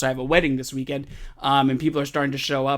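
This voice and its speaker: An animated man at a fairly high pitch, going at a very fast pace. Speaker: card collector YouTuber. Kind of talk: casual pack-opening vlog. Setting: at home.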